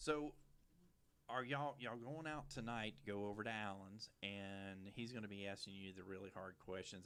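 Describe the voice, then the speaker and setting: In a Louisiana accent, a man speaks at a moderate pace. His pitch is fairly low and moves with ordinary variation. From Louisiana, St. Bernard Parish near New Orleans. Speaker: TV show host. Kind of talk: casual interview chat. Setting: studio at a church.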